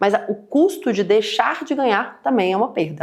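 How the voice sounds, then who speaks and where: A woman with a fairly high pitch speaks in an animated tone with lively intonation. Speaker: financial educator. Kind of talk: online webinar presentation. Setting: live stream. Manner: fast.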